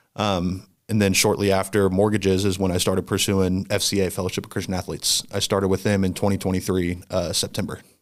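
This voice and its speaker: A man with a Midwestern American accent talks very fast in a very deep, low voice, with hardly any pauses. His intonation is monotone and flat, and his loudness stays very even. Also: very clean recording, silent background. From Indiana (central, near Anderson). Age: 20s. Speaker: ministry worker with student athletes. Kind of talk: interview conversation.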